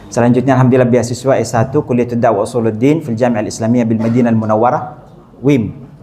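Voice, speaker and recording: Talking at a very fast pace with fairly even intonation, a man is heard against audible room echo. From Saudi Arabia (Mecca). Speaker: Islamic preacher. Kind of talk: religious lecture. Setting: mosque.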